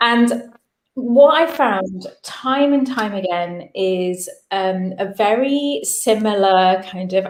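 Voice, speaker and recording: A woman with an English accent speaks with ordinary pitch variation. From England. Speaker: business founder and coach. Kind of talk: webinar talk.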